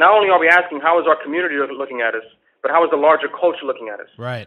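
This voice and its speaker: A man speaks with an American accent and a fairly high pitch. His intonation is lively. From New York. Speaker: comedian. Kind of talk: casual chat.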